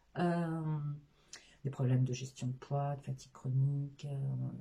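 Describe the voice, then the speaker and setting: A very deep, low female voice, somewhat breathy with a dark, mellow tone, fairly even intonation and a fairly slow pace. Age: 50s. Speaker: sophrologist, former care assistant. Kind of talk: interview. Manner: halting, many hesitations.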